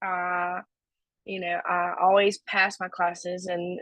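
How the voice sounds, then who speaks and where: With a North Carolina accent, a woman talks at a fairly slow pace and medium pitch. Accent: rural North Carolina Southern. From US South, North Carolina (Stokes County). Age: 20s. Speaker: recovery speaker. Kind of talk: testimony.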